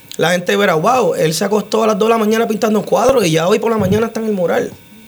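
Over noticeable background noise, a man speaks at a fairly quick pace with a high pitch and ordinary pitch variation. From Puerto Rico, Utuado. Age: 30s. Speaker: muralist and tattoo artist. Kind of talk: radio interview. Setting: radio studio.

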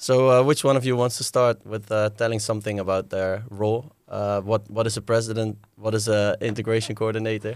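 Heard in a very clean recording with a silent background, the speaker talks fairly quickly in a Dutch accent with monotone, flat intonation. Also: man, fairly low pitch for a man. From Netherlands. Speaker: podcast host. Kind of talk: interview.

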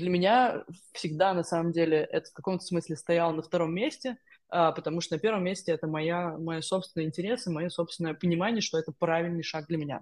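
Against a quiet background, a woman talks at a fairly quick pace in a fairly low pitch with ordinary pitch variation. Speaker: tech analytics professional. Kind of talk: interview. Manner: halting.

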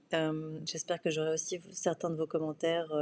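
Against a quiet background, the speech unfolds at a fairly slow pace. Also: woman. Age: 30s. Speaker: podcast host, PR consultant. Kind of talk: solo podcast monologue. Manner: hesitant, many fillers and repetitions.

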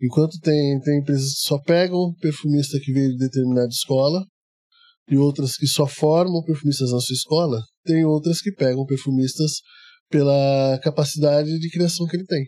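A quiet man with a fairly high pitch, a dark, mellow tone and a moderate pace. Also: fairly even intonation. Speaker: perfumer. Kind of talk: casual interview. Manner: calm, quiet.

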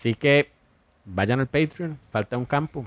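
A medium-pitched man with a Costa Rican accent, in a dry, close sound with no echo. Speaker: podcast co-host. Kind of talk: casual chat.

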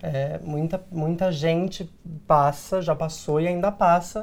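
A plain, everyday voice from a man with a fairly high pitch. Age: 20s. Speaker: actor and diversity consultant, online content creator. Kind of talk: interview. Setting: studio.

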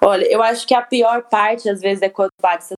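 A woman at medium pitch has a plain, everyday voice. She speaks at a fairly quick pace in a dry, close sound with no echo. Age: 20s. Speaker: podcast co-host. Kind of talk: casual chat.

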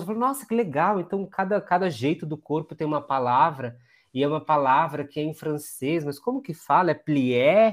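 A man's plain, everyday voice with lively intonation, a fairly quick pace and hardly any pauses, in a very clean recording with a silent background. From Brazil, Diadema (São Paulo ABC region). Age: 30s. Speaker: former dancer and neuroscientist. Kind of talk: interview conversation.

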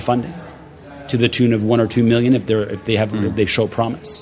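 Over noticeable background noise, a man at a medium pitch talks at a fairly quick pace in a monotone, flat way. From Montreal, Quebec. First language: French. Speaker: author and speaker. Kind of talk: interview chat. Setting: sitting on a couch at a conference.

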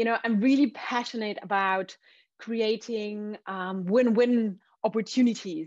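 A woman with a German accent, fairly high-pitched and fairly even in intonation, at a fairly slow pace against a quiet background. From Austria. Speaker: entrepreneur. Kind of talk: interview.

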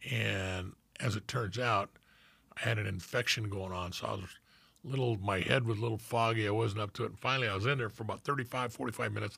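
A man's fairly low voice at a very fast pace, bright and sharp in tone with vocal fry and fairly even intonation, in a very clean recording with a silent background. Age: 70s. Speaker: retired homicide detective and podcast co-host. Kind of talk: casual interview.

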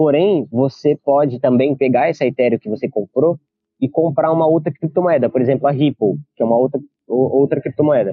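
A man with a plain, everyday voice talks at a fairly quick pace. His pitch is fairly high, with ordinary pitch variation. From Brazil, Campinas (São Paulo state). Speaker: crypto and stock trader. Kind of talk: interview, explaining.

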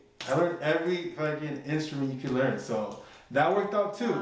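A man rushes through his words very fast, with noticeable noise and audible room echo around him. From Mexican-American family from Jalisco, raised in the US. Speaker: music producer and tech worker. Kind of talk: casual chat.

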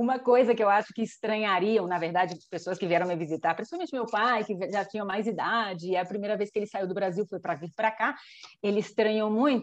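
A woman with a plain, everyday voice, medium in pitch, with ordinary pitch variation and a fairly quick pace. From Brazil, Rio de Janeiro. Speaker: engineer, immigrant in Spain. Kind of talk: casual chat.

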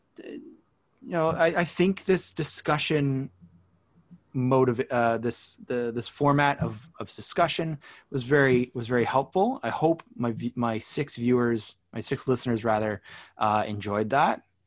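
Using a normal speaking voice with a Canadian accent, a man talks at a fairly slow pace, at medium pitch, with ordinary pitch variation. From Canada. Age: 30s. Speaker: podcast host. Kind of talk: casual chat.

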